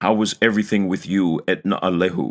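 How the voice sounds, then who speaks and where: A man puts on a growling character voice with a very deep, low pitch, speaking at a fairly quick pace. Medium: read story.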